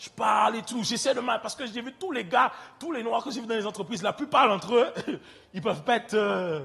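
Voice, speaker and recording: In an Antillean accent, a man speaks at an extremely high pitch with an animated tone, lively intonation, big swings in loudness and a fairly quick pace. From French Antilles. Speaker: preacher. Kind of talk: sermon.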